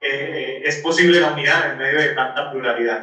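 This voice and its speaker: A man speaks with a Santander Colombian accent. His pitch is fairly high and his intonation fairly even. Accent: marked Santander Colombian. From Colombia, Cúcuta (Santander region). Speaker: Franciscan friar. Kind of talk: podcast interview. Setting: remote call from Rome.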